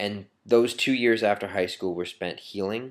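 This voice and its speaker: A very clean recording with a silent background of a man in an American accent. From Maine, US. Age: 30s. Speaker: video blogger. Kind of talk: personal testimony to camera. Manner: halting, many fillers.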